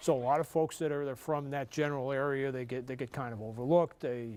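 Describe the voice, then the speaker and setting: This man talks at a fairly quick pace, his fairly high pitch held in fairly even intonation. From New York. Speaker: sportswriter and author. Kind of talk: TV interview.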